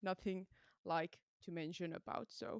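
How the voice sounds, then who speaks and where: A woman at a moderate pace, very clean recording, silent background, with a dry, close sound and no echo. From Finland. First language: Finnish. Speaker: metal musician. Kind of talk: interview. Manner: halting.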